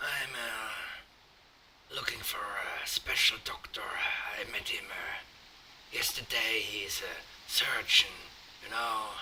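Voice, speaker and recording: Very slowly, a man performs a raspy, put-on character voice. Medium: game stream. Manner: halting, many "uh" fillers.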